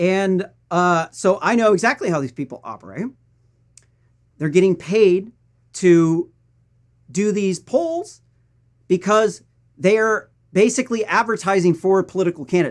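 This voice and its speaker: With a Missouri accent, a man speaks at a fairly slow pace with long, frequent pauses, his high pitch carrying lively intonation in a very clean recording with a silent background. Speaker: political news commentator. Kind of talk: political commentary.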